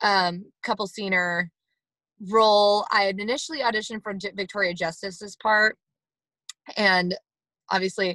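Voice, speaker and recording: A woman with an American accent speaks at medium pitch and a moderate pace, her tone bright, sharp and energetic, with long, frequent pauses in a dry, close sound with no echo. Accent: Southern accent that comes out. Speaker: actress and former pageant winner. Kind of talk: casual interview.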